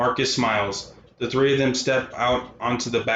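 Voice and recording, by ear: What you hear is reading aloud in a natural voice.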